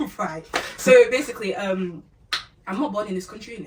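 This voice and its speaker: At a fairly quick pace and with ordinary pitch variation, a woman speaks amid noticeable background noise. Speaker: sprinter. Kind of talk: casual chat.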